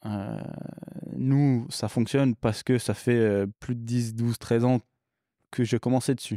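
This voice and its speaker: A man speaks at a medium pitch and a fairly slow pace, in a dark, mellow tone with monotone, flat intonation. Long, frequent pauses break up his speech, and the sound is dry and close with no echo. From English-speaking country, moved to France at 10. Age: 30s. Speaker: bike shop owner. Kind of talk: podcast interview. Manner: casual, hesitant with fillers.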